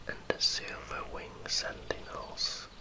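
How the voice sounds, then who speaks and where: Noticeable background noise sits behind someone whispering at a very slow pace. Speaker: ASMR creator. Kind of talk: ASMR game lore narration. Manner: whispered, soft-spoken.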